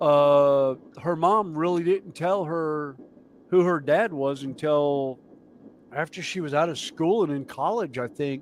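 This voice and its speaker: The man talks with a Southern US accent at a fairly slow pace. His voice sits fairly high, with ordinary pitch variation. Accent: southern US accent, noticeable. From US South (mountains). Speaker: model railway streamer. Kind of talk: casual chat. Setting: live stream.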